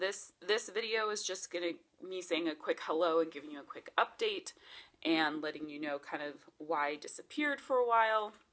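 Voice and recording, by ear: Using a put-on character voice, a woman speaks hoarse and raspy at a medium pitch, with lively intonation and a moderate pace.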